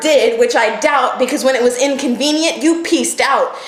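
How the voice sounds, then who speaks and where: Over noticeable background noise, a woman speaks at a high pitch and moderate pace with lively intonation. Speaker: spoken word poet. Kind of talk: poetry slam performance.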